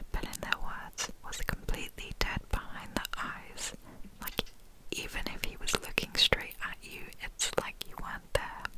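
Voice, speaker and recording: A whispering woman at a moderate pace over noticeable background noise. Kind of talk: scary story reading. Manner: whispered, soft.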